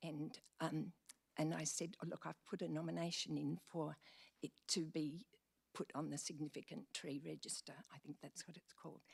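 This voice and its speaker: A woman speaks at a moderate pace in a very deep, low voice with vocal fry. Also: ordinary pitch variation, dry, close sound with no echo. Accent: Australian. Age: old. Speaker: member of the public addressing council. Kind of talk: public deputation speech. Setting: council meeting chamber. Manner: halting.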